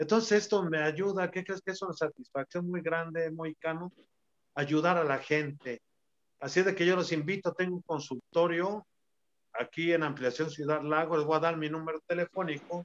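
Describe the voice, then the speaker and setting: The sound is dry and close with no echo as a man speaks in a high voice with fairly even intonation. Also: moderate pace. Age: 60s. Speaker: retired professional wrestler. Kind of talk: casual interview.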